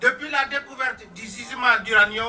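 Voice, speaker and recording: A man projects a raised voice at an extremely high pitch. His pitch variation is ordinary, with noticeable background noise. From Mali. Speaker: village community representative, activist. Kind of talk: rally speech. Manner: formal.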